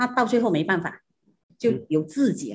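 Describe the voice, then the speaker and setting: Very wide pitch swings stand out against a quiet background. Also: woman. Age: 60s. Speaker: shoemaker, business co-founder. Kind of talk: interview.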